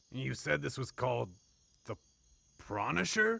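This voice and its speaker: A man puts on a cartoonish character voice, fairly low in pitch. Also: moderate pace. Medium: puppet. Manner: grumpy, ranting.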